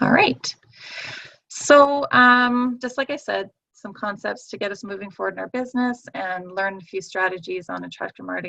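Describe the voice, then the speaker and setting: This woman has a bright, sharp tone at a medium pitch, speaking at a fairly quick pace with big swings in loudness. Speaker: network marketing team leader. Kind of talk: online training session. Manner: fast; hesitant, many fillers.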